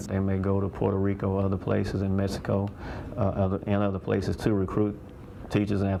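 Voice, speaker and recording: Over noticeable background noise, a man speaks fairly quickly in a fairly low, monotone voice with flat intonation. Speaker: school principal. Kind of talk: interview answer.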